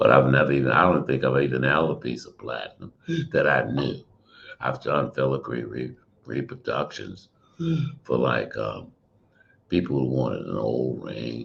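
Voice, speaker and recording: A man with a very deep, low pitch and vocal fry speaks at a moderate pace with fairly even intonation and long, frequent pauses. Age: 70s. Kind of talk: panel Q&A conversation.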